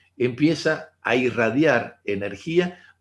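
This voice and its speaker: A man at a very slow pace with lively intonation. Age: 60s. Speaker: holistic therapist. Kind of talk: online talk.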